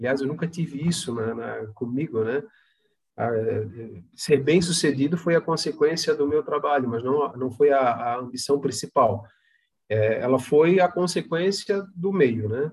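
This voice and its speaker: A man talks at a fairly slow pace in a fairly high, somewhat breathy voice. His pitch varies in an ordinary way. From Santa Catarina, Brazil (Palhoça, near Florianópolis). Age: 50s. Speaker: company founder and director. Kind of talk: interview. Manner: halting.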